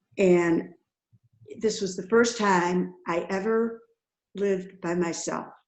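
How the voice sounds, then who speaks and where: A woman of medium pitch speaks at a very slow pace with fairly even intonation. She leaves long, frequent pauses. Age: 80s+. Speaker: webinar participant. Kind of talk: personal testimony. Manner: halting.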